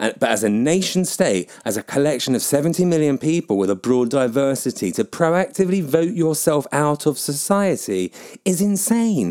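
On a very clean recording with a silent background, a man with a southern English accent talks at a fairly quick pace, his pitch swinging very widely. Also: fairly high pitch for a man, very even loudness. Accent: nondescript southern English. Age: 40s. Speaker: podcaster and PR professional. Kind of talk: solo opinion monologue, blog-style podcast. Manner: rambling, opinionated, informal.

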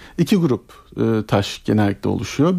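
A man speaks with a dark, mellow tone. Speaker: general surgeon. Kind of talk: medical radio interview. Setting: studio.

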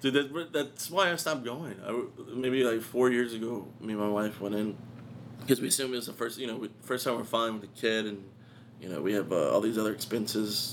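Talking at a fairly quick pace, a man uses a plain, everyday voice at medium pitch with ordinary pitch variation. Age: 20s. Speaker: comedian and college student. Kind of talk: casual chat. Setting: studio.

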